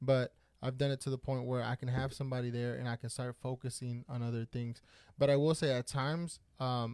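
A man speaks at a medium pitch in a flat monotone, the sound dry and close with no echo and the recording very clean over a silent background. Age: 30s. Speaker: podcast host. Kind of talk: casual chat. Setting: studio.

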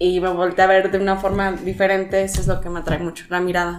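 A woman at a medium pitch talks at a fairly quick pace over noticeable background noise. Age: 20s. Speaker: office administrator. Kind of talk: casual chat.

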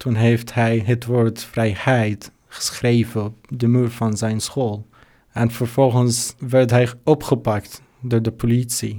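A man with an Arabic accent at a medium pitch, very slow and monotone with flat intonation, on a very clean recording over a silent background. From Syria. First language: Arabic (speaking Dutch). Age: 20s. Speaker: refugee, volunteer. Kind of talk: interview. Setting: studio. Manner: halting, many hesitations.

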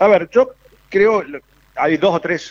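A man speaks with a Cordoban accent. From Córdoba, Argentina. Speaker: foreign trade specialist. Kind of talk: casual chat.

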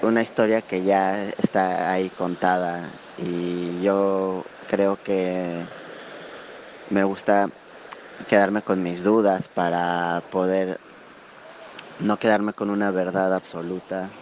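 A man with a Mexican accent speaks in a very deep, low pitch and a monotone, flat intonation. He talks at a very slow pace with long, frequent pauses over noticeable background noise. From Mexico. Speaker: listener contributor. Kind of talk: voice message. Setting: outdoors.

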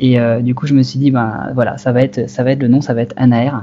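A man's medium-pitched voice rushes along very fast, its intonation fairly even. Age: 20s. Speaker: wildlife photographer. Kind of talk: interview. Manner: halting.

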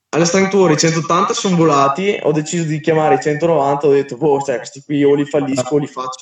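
A man with an unremarkable speaking voice talks at a fairly quick pace and a fairly high pitch. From Verona, northern Italy. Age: 20s. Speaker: street lifting athlete. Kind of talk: casual chat. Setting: Instagram live. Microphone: poor audio quality.

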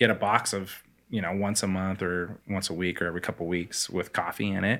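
This man has a fairly low-pitched voice and a Pacific Northwest accent. The recording is very clean, with a silent background. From US Pacific Northwest, Spokane, Washington. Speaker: coffee company founder. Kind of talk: interview conversation.

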